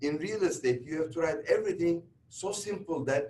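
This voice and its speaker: In a Turkish accent, a man speaks at a moderate pace with a high pitch and fairly even intonation. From Turkey. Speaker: real estate instructor. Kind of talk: lecture.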